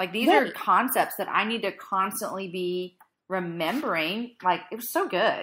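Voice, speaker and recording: At a moderate pace, a woman talks in an animated tone at medium pitch with ordinary pitch variation. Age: 30s. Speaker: podcast host. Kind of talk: casual chat.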